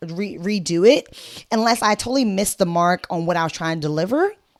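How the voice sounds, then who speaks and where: With lively intonation and an animated tone, a woman talks at a moderate pace and medium pitch. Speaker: life coach. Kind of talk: motivational talk.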